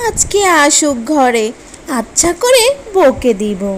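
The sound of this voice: A woman's cartoonish character voice, high-pitched and slow, with big pitch swings and faint background noise.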